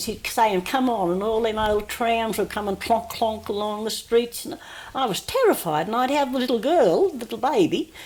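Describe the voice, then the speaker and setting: An Australian accent at a moderate pace with ordinary pitch variation, over noticeable background noise. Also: woman. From New South Wales, Australia. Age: 80s+. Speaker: oral history interviewee. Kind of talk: oral history interview. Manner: halting.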